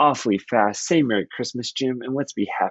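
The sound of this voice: The voice reads in an unforced way, its pitch varying in an ordinary manner.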